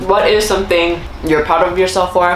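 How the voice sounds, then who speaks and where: A woman talks at a medium pitch and a fairly quick pace with fairly even intonation, amid noticeable background noise and audible room echo. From South Korea. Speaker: lifestyle YouTuber. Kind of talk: casual Q&A chat. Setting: eating snacks while talking. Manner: fast.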